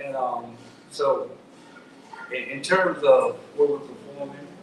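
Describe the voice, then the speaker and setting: A man with an American accent, fairly slow, amid audible room echo and noticeable background noise. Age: 50s. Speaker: go-go band musician. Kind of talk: radio interview.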